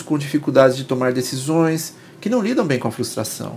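With lively intonation, a man uses an ordinary speaking voice at a moderate pace. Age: 40s. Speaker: psychoanalyst and podcast host. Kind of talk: solo podcast monologue.

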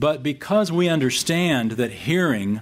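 A man with a plain, everyday voice speaks at a fairly slow pace with lively intonation and an American accent. The recording is very clean, with a silent background. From Texas, San Antonio. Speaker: Bible teacher podcast host. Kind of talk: Bible teaching talk.

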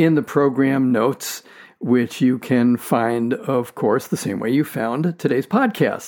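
Here is a man with a fairly high voice and lively intonation, talking at a moderate pace in an ordinary speaking voice. The recording is very clean, with a silent background. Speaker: podcast host. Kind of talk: interview conversation.

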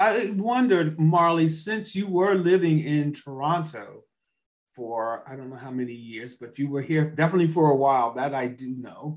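With an unremarkable speaking voice, a man talks at a moderate pace with a fairly high pitch, lively intonation and big swings in loudness. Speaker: co-host of a podcast. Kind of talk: interview, conversational.

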